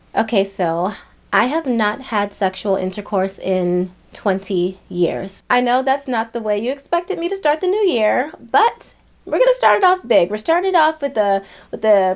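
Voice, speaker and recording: Fairly high in pitch, a woman has an unremarkable speaking voice and keeps a moderate pace. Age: 30s. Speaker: lifestyle vlogger. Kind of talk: personal vlog talk to camera. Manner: casual, conversational.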